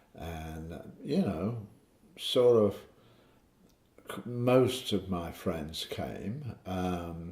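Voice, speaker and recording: At a very slow pace and a very deep, low pitch, a man speaks somewhat breathily with lively intonation, big swings in loudness and long, frequent pauses. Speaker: father recounting family memories. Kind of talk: casual family interview. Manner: halting, with many fillers.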